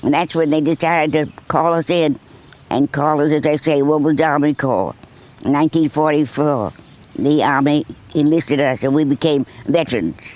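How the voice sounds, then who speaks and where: Her loudness very even and her intonation fairly even, a woman with an American accent talks at a moderate pace with a very deep, low pitch. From Boston, Massachusetts. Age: 100s, stated 106. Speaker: war veteran. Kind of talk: interview. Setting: nursing home.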